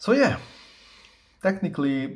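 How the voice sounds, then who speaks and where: A man talks with a non-native accent in a somewhat breathy voice. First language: not English. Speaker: tech reviewer. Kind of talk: tutorial. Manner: halting, many fillers; casual.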